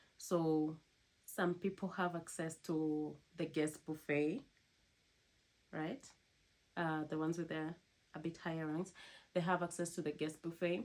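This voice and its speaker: A woman with a non-native accent speaks at a fairly low pitch with fairly even intonation. She takes long, frequent pauses. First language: not English. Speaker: cruise ship crew member vlogger. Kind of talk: casual vlog talk to camera.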